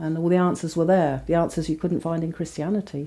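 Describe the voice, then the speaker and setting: A woman speaks in an English Midlands accent with a dark, mellow tone. Her intonation is fairly even. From England, Northamptonshire. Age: 50s. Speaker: convert telling her story. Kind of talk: testimony.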